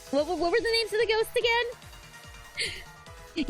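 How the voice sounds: In a put-on character voice that is squeaky, extremely high-pitched and playful, someone talks at a fairly slow pace over clear background music.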